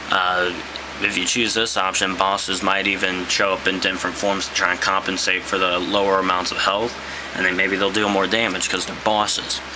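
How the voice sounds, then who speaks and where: A man's very deep, low voice in a flat monotone at a moderate pace, with audible room echo and noticeable background noise. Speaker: gaming YouTuber. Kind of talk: casual monologue. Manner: hesitant, many fillers.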